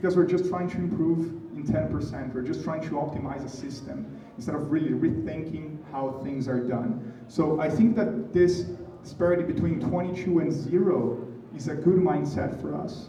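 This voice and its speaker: Noticeable background noise and audible room echo surround a man's voice. His pitch varies in an ordinary way. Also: fairly high pitch for a man, moderate pace. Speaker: motorsport engineer and speaker. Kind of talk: conference talk. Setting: stage with live audience.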